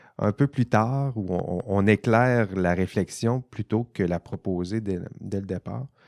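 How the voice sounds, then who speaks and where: Speaking at a fairly slow pace with a Saguenay–Lac-Saint-Jean accent, a man uses a fairly low pitch and ordinary pitch variation, recorded with a dry, close sound with no echo and a quiet background. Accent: Saguenay-Lac-Saint-Jean Quebec French. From Quebec, Saguenay-Lac-Saint-Jean. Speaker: podcast host, ethics professor. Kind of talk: casual panel discussion. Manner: hesitant, many repetitions.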